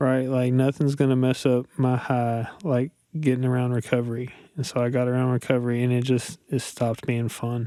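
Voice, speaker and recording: In an eastern Kentucky accent, a man talks at a fairly quick pace with a medium pitch, a dark, mellow tone and monotone, flat intonation. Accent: eastern Kentucky-sounding. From central Kentucky, rural. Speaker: guest in recovery. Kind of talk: personal testimony in interview.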